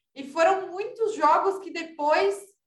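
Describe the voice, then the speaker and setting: A woman's voice with audible room echo. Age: young. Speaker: sports and politics journalist. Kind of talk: casual chat.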